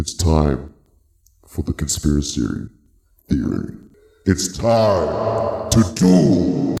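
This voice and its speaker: A man's put-on character voice, very deep and low, at a very slow pace with long, frequent pauses and slight echo. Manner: dramatic, intense.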